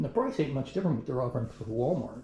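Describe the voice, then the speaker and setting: A man speaks with a dark, mellow tone, a somewhat breathy quality and lively intonation. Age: 60s. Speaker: product reviewer, retiree. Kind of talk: casual video review. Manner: casual, halting with fillers.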